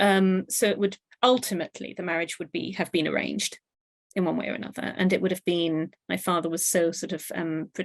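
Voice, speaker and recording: In a strong British accent, a woman speaks at a fairly quick pace in a fairly low pitch with vocal fry, the sound dry and close with no echo. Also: ordinary pitch variation. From Pakistan. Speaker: author and university lecturer. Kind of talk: interview. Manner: halting.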